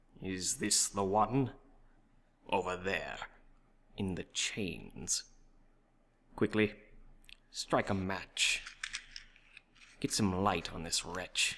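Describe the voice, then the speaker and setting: A man puts on a character voice at a fairly low pitch. He goes at a very slow pace, with long, frequent pauses. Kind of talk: theatrical villain roleplay. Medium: solo performance. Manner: mocking, theatrical, self-satisfied.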